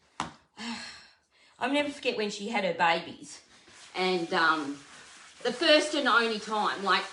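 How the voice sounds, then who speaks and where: A woman speaks loudly at a fairly slow pace, leaving long, frequent pauses as her pitch swings very widely, with audible room echo. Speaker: furniture painter and content creator. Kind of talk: live stream painting tutorial.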